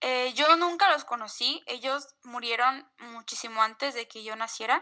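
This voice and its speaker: Here a woman talks at a fairly slow pace. Her pitch is high. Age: 20s. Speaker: listener sharing paranormal experiences. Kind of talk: testimony. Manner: halting.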